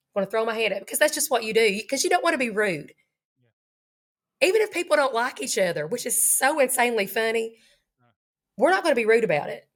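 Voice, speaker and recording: A woman's fairly high voice in an Appalachian accent, fairly quick and full of very wide pitch swings. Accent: Appalachian Kentucky. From Eastern Kentucky. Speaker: high school teacher. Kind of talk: interview answer.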